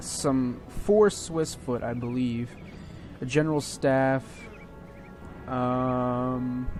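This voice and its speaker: Over music in the background, a man speaks at a very slow pace with long, frequent pauses, a medium pitch and ordinary pitch variation. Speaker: gaming video creator. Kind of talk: gameplay commentary. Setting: home at midnight. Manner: soft-spoken; hesitant, many fillers.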